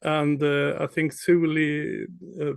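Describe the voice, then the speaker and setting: Against a quiet background, a man with a Swedish accent speaks very slowly in a fairly high pitch. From Sweden. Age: 60s. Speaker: startup founder. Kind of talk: panel discussion.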